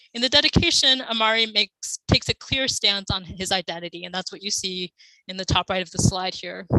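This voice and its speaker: Her tone bright and sharp, a woman speaks at a medium pitch and a fairly quick pace with ordinary pitch variation and big swings in loudness, in a dry, close sound with no echo. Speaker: conference speaker, classics scholar. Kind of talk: academic conference talk. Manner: fast.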